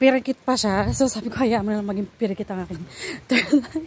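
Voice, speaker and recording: A woman speaks with ordinary pitch variation, the sound dry with no echo and light background noise behind her. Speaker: travel vlogger. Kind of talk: casual vlog chat. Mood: slightly nervous, joking. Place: street. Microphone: phone near.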